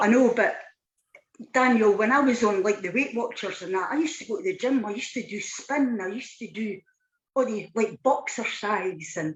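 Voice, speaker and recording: With a Scottish accent, a woman speaks at a moderate pace, her fairly high pitch carrying lively intonation. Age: 60s. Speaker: weight loss client. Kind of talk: testimony. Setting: live online show.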